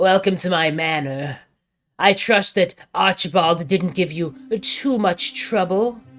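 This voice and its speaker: A man puts on a croaky character voice pitched high. He talks at a fairly slow pace over faint background music. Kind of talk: posh, formal.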